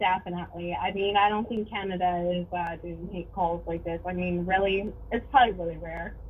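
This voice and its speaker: Speech with hardly any pauses and fairly even intonation runs over noticeable background noise. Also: woman, fairly low pitch for a woman, fairly quick pace. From Mexico (Acapulco), moved to US at seven. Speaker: caller. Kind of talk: casual chat.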